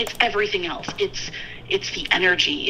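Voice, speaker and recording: Here a woman speaks with ordinary pitch variation. Noticeable background noise runs underneath. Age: 30s. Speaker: weight loss coaching client. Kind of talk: casual chat.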